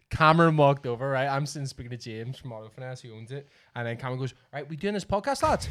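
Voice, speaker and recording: A man with a Northern Irish accent talks at a very fast pace with ordinary pitch variation. The recording is very clean, with a silent background. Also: medium pitch for a man. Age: 30s. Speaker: podcast host. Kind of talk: casual chat.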